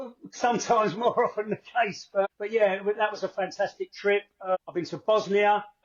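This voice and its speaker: A man in a Cockney accent, high in pitch, at a moderate pace with fairly even intonation. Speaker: football fan, podcast contributor. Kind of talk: podcast interview. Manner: hesitant, many fillers.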